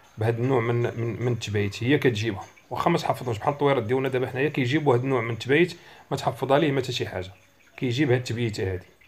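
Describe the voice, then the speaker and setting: A man with a Moroccan accent speaks at a very fast pace and medium pitch. His voice is somewhat breathy, with ordinary pitch variation. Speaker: bird-song teacher. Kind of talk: tutorial.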